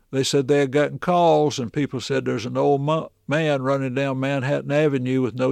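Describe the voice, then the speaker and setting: A man talks at a moderate pace, his voice dry and close with no echo over a quiet background. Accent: Tennessee. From Middle Tennessee. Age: 70s. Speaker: minister and ventriloquist. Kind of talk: casual interview storytelling.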